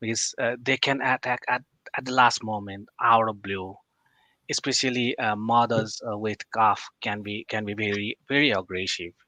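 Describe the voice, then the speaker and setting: In a dry, close sound with no echo and a quiet background, a man with a bright, sharp tone speaks at a medium pitch and moderate pace with fairly even intonation. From Nepal. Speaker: wildlife conservation scientist. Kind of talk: casual interview chat. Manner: halting with many fillers.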